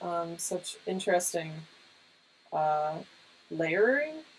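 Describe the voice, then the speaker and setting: Soft-spoken, a woman talks at a very slow pace. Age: 30s. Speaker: cartoonist and artist livestreamer. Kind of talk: casual livestream chat while painting. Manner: hesitant, many fillers.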